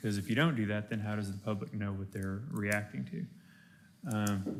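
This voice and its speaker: In a room with audible echo, a man speaks at a moderate pace, fairly low in pitch, with ordinary pitch variation. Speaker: bond counsel presenting to county commissioners. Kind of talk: briefing presentation. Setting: county commissioners court meeting. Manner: loud.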